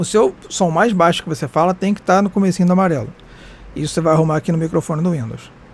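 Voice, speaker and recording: Speaking at a very fast pace, a man uses a high pitch. His pitch variation is ordinary. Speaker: streamer and tutorial youtuber. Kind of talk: tutorial. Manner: casual.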